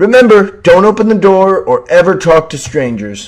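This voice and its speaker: A man puts on a character voice, pitched high, at a moderate pace. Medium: read story.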